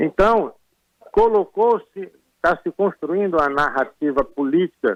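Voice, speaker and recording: Speaking at a very slow pace, a man makes very wide pitch swings. The sound is dry and close, with no echo. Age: 70s. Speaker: retired military officer, association president. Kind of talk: interview. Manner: emphatic, interrupting.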